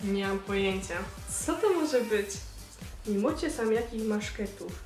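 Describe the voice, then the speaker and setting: Over faint background music, a woman with a Silesian accent speaks at a moderate pace, with audible room echo. Her fairly high voice carries an upbeat tone. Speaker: YouTube vlogger. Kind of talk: casual talk to camera, quiz vlog. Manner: upbeat, chatty. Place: home room.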